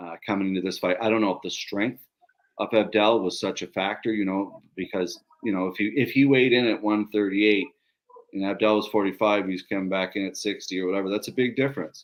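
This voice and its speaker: A man talks at a very fast pace with fairly low pitch. His intonation is fairly even. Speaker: podcast host, fight league co-owner. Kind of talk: casual chat. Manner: monotone.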